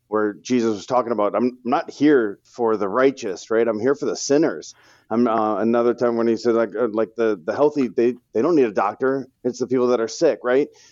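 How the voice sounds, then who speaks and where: The speaker has a plain, everyday voice and an American accent, going at a fairly quick pace with hardly any pauses. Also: man, medium pitch for a man, fairly even intonation. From St. Louis, Missouri, US. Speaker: financial advisor. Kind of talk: interview podcast.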